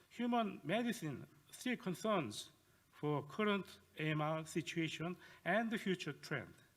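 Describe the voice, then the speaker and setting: Fairly slow speech from a man with a Korean accent, high-pitched with lively intonation, on a very clean recording with a silent background. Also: very even loudness. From South Korea. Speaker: professor. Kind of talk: lecture. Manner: halting.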